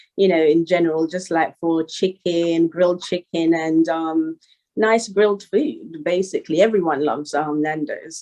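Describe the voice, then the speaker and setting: A dark, mellow female voice, fairly low in pitch, with fairly even intonation and a London accent. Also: moderate pace. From Northwest London, England. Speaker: rapper. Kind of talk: interview. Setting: call.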